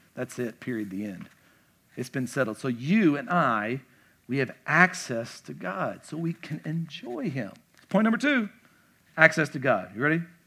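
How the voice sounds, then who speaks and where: The speaker has a Kentucky accent and a bright, sharp tone. Pitch swings very widely, and loudness rises and falls a great deal. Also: man, fairly high pitch for a man, moderate pace. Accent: Southern US (Kentucky). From Kentucky, small town. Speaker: pastor. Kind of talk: casual, conversational church sermon, verse-by-verse teaching with asides. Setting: church stage with congregation. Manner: animated, chatty, with filler words and repeated stammered starts; emphatic repetition of key points.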